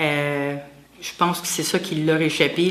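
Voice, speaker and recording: Flat and monotone, a woman speaks with a very deep, low pitch in a Quebec accent. Background noise is noticeable. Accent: Québécois French. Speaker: lay associate of a religious community, massage therapist. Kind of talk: interview testimony. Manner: halting.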